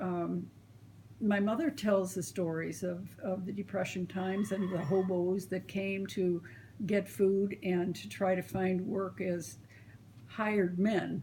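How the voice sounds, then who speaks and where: With an American accent, a woman speaks at a very slow pace in a somewhat breathy, dark, mellow tone, her medium pitch held in fairly even intonation. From US Midwest, small-town Illinois. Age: 70s. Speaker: grandmother interviewed about family history. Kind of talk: oral history interview. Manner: hesitant fillers.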